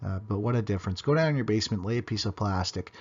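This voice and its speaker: Talking at a very fast pace, a man uses a fairly low pitch. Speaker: home weatherization contractor. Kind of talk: tutorial. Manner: halting, many fillers.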